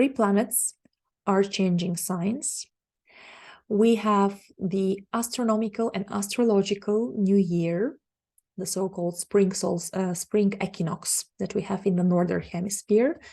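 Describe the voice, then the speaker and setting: Somewhat breathy, a woman with a Bulgarian accent speaks fairly slowly at a medium pitch with ordinary pitch variation and a dark, mellow tone against a quiet background. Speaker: astrologer. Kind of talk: monologue forecast.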